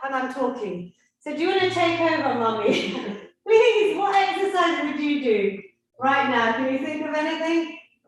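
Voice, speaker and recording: A woman speaks in a high pitch at a moderate pace, her tone animated and her pitch swinging very widely. Audible room echo surrounds her voice. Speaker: fitness instructor. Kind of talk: workout class instruction.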